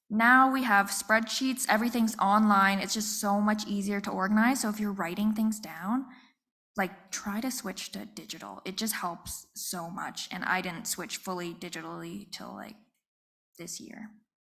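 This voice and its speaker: Soft-spoken and bright with a sharp tone, a woman talks at a moderate pace and medium pitch, keeping fairly even intonation while her loudness swings widely. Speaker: small business owner. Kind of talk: panel talk. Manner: quiet.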